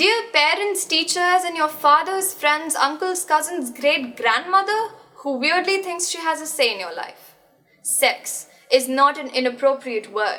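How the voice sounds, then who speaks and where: Using a raised, projected voice, a woman speaks at a fairly slow pace with extremely high pitch, lively intonation and big swings in loudness. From India. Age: young. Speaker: spoken word poet. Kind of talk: slam poetry performance.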